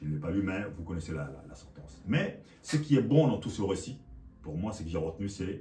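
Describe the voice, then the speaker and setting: Delivered at a fairly quick pace, the voice shows big swings in loudness and very wide pitch swings, with audible room echo and noticeable background noise. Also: man, very deep, low pitch for a man. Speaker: preacher. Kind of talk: sermon.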